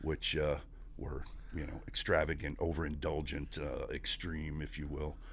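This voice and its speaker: A man with an American accent and a very deep, low pitch speaks in a monotone, flat intonation at a moderate pace, with audible room echo. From Northeast Pennsylvania, Scranton area. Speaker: navy veteran and company employee. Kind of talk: casual interview.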